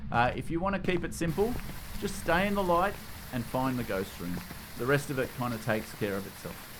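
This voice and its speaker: A man with an Australian accent speaks at a fairly quick clip, his pitch swinging very widely. Room echo is audible in the recording. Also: medium pitch for a man. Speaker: gaming YouTuber. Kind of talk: gameplay tutorial commentary. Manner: casual.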